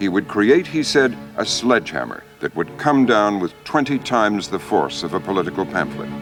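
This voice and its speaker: A man at a fairly low pitch and moderate pace, with very wide pitch swings and hardly any pauses, over music in the background. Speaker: TV host. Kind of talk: documentary narration.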